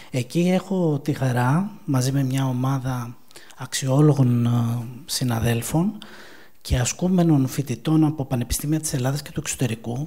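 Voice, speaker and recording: With noticeable background noise behind him, a man of medium pitch talks at a fairly slow pace with ordinary pitch variation. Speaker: mental health counselor. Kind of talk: conference talk. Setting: conference event.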